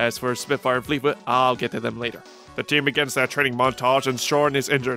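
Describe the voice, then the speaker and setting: Over music in the background, a man speaks at a very fast pace, medium in pitch, with monotone, flat intonation. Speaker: TV episode reviewer. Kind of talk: episode review narration.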